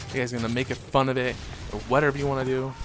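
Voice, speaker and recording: Music plays behind a man who talks very fast in a monotone, flat intonation. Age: 20s. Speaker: gaming commentator. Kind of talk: gameplay commentary. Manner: halting.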